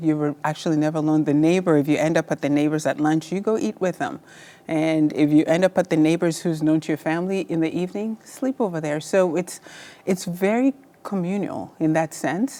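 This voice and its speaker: A woman's fairly low, dark and mellow voice at a fairly quick pace with ordinary pitch variation, in a very clean recording with a silent background. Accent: Kenyan. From Kenya, rural village. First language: Luo. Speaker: surgeon. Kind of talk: interview.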